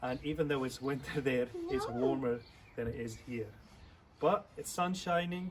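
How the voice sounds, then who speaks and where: A man's fairly high voice with ordinary pitch variation and long, frequent pauses, amid noticeable background noise. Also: moderate pace. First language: Afrikaans. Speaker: church youth leader. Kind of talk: video for children. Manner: friendly, teaching.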